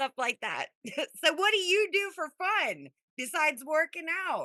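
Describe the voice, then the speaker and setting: Using a raised, projected voice, a woman with an American accent speaks at an extremely high pitch in a bright, sharp, animated tone with lively intonation, the sound dry and close with no echo. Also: fairly slow pace. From Las Vegas, US. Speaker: interview show host. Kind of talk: casual interview chat.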